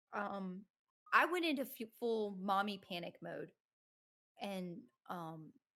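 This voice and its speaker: Shaky and very slow, the speaker uses lively intonation, big swings in loudness and long, frequent pauses, in a Southern US accent. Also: woman, medium pitch for a woman. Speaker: streamer and content creator. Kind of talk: casual chat. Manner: shaky voice.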